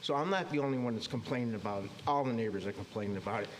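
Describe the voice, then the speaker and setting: A man with ordinary pitch variation against noticeable background noise. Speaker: resident speaking at public comment. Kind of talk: public comment at town board meeting. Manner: fast; agitated.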